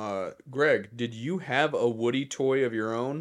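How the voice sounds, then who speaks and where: At a fairly slow pace, a man with a medium pitch and ordinary pitch variation speaks in a normal speaking voice on a very clean recording with a silent background. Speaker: podcast co-host. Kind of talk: casual chat.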